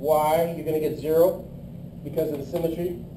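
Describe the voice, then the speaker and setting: A man's fairly high-pitched voice at a moderate pace, with audible room echo and noticeable background noise. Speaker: engineering lecturer. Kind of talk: lecture.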